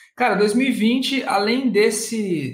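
A man is speaking. The room echo is audible. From interior of São Paulo state, Brazil. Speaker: online course entrepreneur, singer and actor; actor. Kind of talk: casual interview chat; interview answer. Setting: video call. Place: home room. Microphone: webcam.

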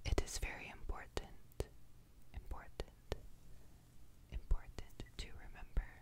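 A woman speaks at a fairly slow pace. Loud noise fills the background. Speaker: ASMR creator. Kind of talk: soft ASMR chat, repeated words. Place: home room.

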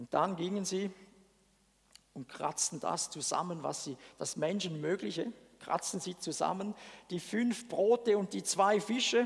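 With a quiet background, a man speaks at a fairly slow pace in an animated tone with ordinary pitch variation. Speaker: preacher. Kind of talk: sermon. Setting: church. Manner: conversational. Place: church. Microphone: headset.

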